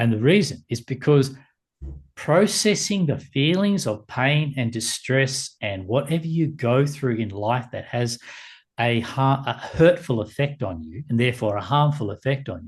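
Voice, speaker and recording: Against a quiet background, a man with a somewhat breathy, medium-pitched voice speaks at a fairly slow pace with lively intonation. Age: 60s. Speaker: meditation teacher. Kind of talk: podcast interview. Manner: halting.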